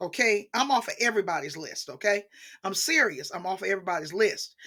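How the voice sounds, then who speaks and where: Bright and sharp in tone, a woman talks at a fairly quick pace. Her intonation is lively. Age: 60s. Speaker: teacher and book channel host. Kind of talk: casual monologue vlog. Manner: conversational with many fillers.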